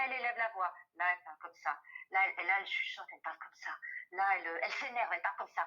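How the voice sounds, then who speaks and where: A woman races along at a very fast pace, her tone bright and sharp and her pitch varying in an ordinary way. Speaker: voice actor. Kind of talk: interview answer.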